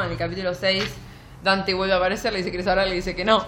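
There is audible room echo around a woman's voice. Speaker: book podcast co-host. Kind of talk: casual chat.

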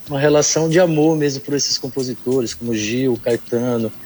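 With ordinary pitch variation, a man speaks fairly quickly while noticeable background noise plays behind him. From Brazil, São Luís, Maranhão. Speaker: singer-songwriter. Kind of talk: interview. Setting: online remote call.

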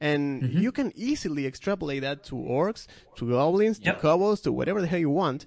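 In a Spanish accent, a man with a fairly high pitch talks at a very fast pace with lively intonation against a quiet background. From Argentina. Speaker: podcast host. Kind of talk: casual chat.

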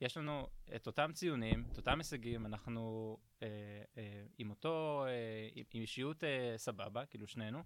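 A man speaks at a moderate pace in a medium pitch, with ordinary pitch variation. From Israel, Ashdod. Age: 30s. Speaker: product manager at a tech company. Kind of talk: podcast interview. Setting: studio. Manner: halting, many fillers.

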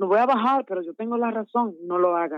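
A woman with a Dominican accent, at a medium pitch with ordinary pitch variation. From Dominican Republic, Santo Domingo. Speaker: gospel singer. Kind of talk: interview. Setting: phone call.

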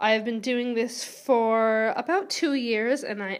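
A woman with a Canadian accent speaks at a fairly high pitch with ordinary pitch variation, on a very clean recording with a silent background. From Vancouver, Canada. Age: 30s. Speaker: podcast host. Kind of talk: casual monologue.

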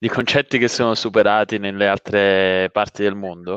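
This man has an unremarkable speaking voice, fairly low in pitch with fairly even intonation. He talks at a fairly slow pace against a quiet background. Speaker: co-host. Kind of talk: live panel discussion.

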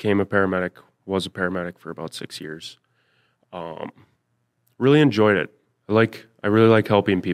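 On a very clean recording with a silent background, a man with an American accent talks at a fairly quick pace, using ordinary pitch variation, big swings in loudness, and long, frequent pauses. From Minnesota (Thief River Falls). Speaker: real estate agent, former paramedic, podcast co-host. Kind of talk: casual chat.

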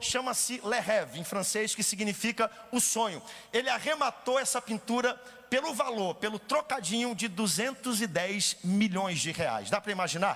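This man's voice sits high in pitch, moving at a moderate speed with normal rises and falls. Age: 30s. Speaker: pastor. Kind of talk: sermon.

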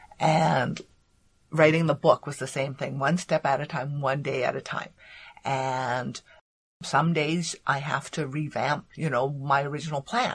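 In a quiet background, a woman with a very deep, low pitch speaks at a fairly slow pace, somewhat breathy and with fairly even intonation. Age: 50s. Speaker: former lawyer, coach and author. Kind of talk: interview. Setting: library recording room, face to face.

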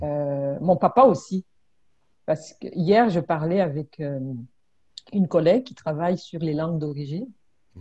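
A woman's somewhat breathy, dark, mellow voice, fairly low in pitch with ordinary pitch variation, at a fairly slow pace. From Congo (southern), born in Burundi. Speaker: immigrant-services trainer and mediator. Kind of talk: casual interview conversation.

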